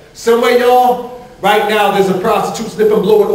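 The speech moves at a fairly quick pace with fairly even intonation. Audible room echo surrounds the voice. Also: man. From Newark, New Jersey; New Jersey. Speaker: spoken word poet. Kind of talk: spoken word performance. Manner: rhythmic.

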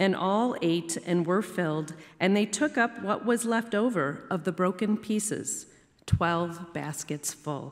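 Delivery moves fairly slowly. Nothing much stirs in the quiet background. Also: woman, ordinary pitch variation. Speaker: lector. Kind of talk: scripture reading aloud. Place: church. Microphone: podium.

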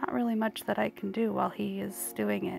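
A soft-spoken woman talks over music in the background. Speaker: cleaning vlogger. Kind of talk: voice-over narration of cleaning video. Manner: quiet, soft-spoken.

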